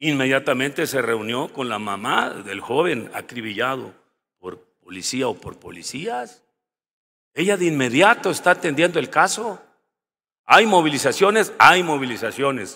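Over a quiet background, a man with a fairly high pitch and a bright, sharp tone talks at a fairly slow pace, his loudness swinging widely and his pitch moving in very wide swings. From Mexico, Guerrero. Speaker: senator. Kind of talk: parliamentary debate; parliamentary speech. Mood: firm, argumentative.

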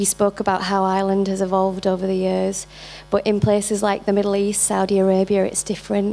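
Her pace is very fast and her pitch medium for a woman. The intonation stays monotone and flat. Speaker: audience member, engineer. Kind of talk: audience question. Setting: stage with audience.

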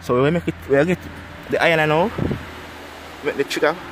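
Noticeable background noise surrounds a man speaking at a moderate pace, his pitch varying in an ordinary way. The sound is dry, with no echo. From Jamaica. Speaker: spearfishing video creator. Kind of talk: casual tutorial vlog. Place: garden. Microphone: phone near.

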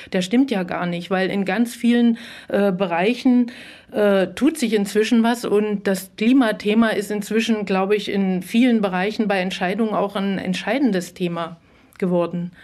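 An ordinary speaking voice comes through at a moderate pace with fairly even intonation, in a very clean recording with a silent background. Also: woman. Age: middle-aged. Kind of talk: debate.

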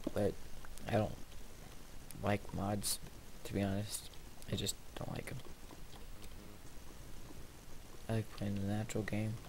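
A man talks at a moderate pace. His intonation is fairly even, with light noise behind him. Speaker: gamer. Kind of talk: casual gameplay commentary.

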